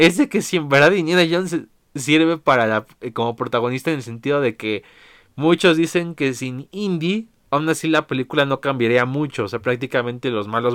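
Heard in a dry, close sound with no echo, a man with an unremarkable speaking voice talks at a fairly high pitch with lively intonation. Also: very clean recording, silent background. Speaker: podcast host. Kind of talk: casual monologue.

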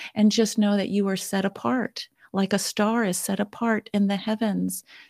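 A woman with an American accent speaks in a normal speaking voice at medium pitch and a moderate pace, her intonation fairly even, on a very clean recording with a silent background and a dry, close sound with no echo. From California. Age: 60s. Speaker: galactic astrologer. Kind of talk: interview conversation.

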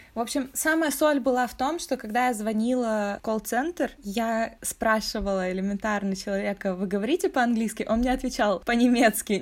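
A woman with a plain, everyday voice and ordinary pitch variation. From Russia. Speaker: podcast co-host. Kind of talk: casual chat.

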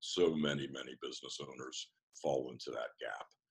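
A man with a Mid-Atlantic American accent, speaking at a moderate pace. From US, Washington D.C. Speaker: business coach. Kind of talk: interview.

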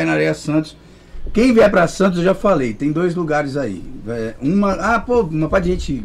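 A man speaks at a moderate pace with a fairly high pitch. His pitch swings very widely, and he hardly pauses. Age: 30s. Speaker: musician. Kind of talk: casual chat.

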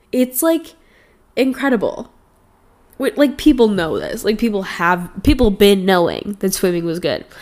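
This woman talks at a moderate pace with lively intonation. Her pitch is fairly high. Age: 20s. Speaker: podcast host. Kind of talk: casual solo chat. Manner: rambling, chatty with frequent fillers.

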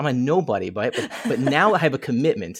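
A normal speaking voice with lively intonation moves at a moderate pace on a very clean recording with a silent background. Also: man. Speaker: podcaster. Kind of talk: casual chat.

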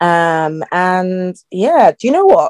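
A woman with a South London accent, in a dry, close recording with no echo. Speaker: guest who lived in UAE. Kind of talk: casual interview chat.

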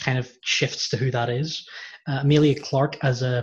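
A man speaks with a fairly high pitch at a moderate pace. His voice is somewhat breathy. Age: 30s. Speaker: podcast host. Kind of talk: casual chat.

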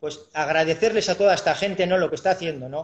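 A man's voice, high in pitch, with fairly even intonation. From Basque Country, Biscay (Urduliz). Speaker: chef and restaurant owner. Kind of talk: casual interview chat. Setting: live video stream call.

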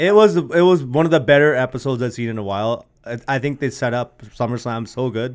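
A man with an unremarkable speaking voice talks at a medium pitch with lively intonation and hardly any pauses, on a very clean recording with a silent background. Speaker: Punjabi music producer and DJ, guest co-host. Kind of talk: casual chat.

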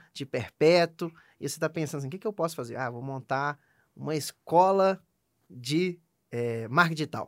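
Captured in a very clean recording with a silent background and a dry, close sound with no echo, a man speaks at a moderate pace and fairly high pitch. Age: 20s. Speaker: startup founder. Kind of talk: casual interview.

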